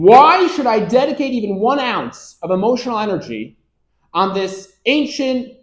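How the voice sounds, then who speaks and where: A man talks with an extremely high pitch and lively intonation. His pace is moderate. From US Northeast (Rochester, New York). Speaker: rabbi and Torah lecturer. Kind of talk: lecture.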